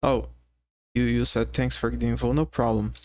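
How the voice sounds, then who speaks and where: The speaker has a non-native accent, captured on a very clean recording with a silent background. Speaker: game dev streamer. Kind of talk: live coding stream. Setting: live stream. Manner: halting, repeats words.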